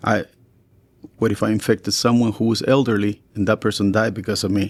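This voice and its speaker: Monotone, flat intonation marks this man's fairly low voice. He moves at a fairly quick pace with very even loudness. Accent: Spanish. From Chile. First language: Spanish. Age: 60s. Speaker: teacher and coach. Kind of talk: podcast conversation.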